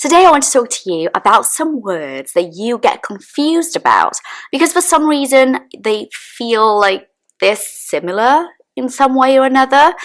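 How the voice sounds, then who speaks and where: In a very clean recording with a silent background, a woman with a British accent speaks at a high pitch with very wide pitch swings. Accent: British accent learned in the UK. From Brazil. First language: Portuguese. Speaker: English teacher. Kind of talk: tutorial. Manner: clear, deliberate enunciation.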